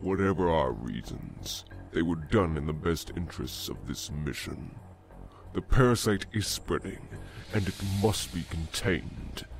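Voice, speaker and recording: A man uses a put-on character voice with a very deep, low pitch. He speaks at a moderate pace over clear background noise. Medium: audio drama. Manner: fuming, commanding.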